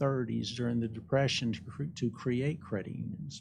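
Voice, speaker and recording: Against a quiet background, a man speaks at a medium pitch with an Alabama accent. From Alabama, US South (Birmingham). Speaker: credit union executive. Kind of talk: interview. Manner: polite, gracious.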